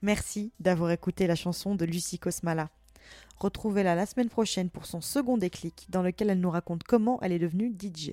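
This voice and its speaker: At a fairly quick pace, the voice has a dark, mellow tone and ordinary pitch variation, recorded with a dry, close sound and no echo. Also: woman, medium pitch for a woman. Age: 20s. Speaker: podcast host. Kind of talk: casual chat; scripted outro.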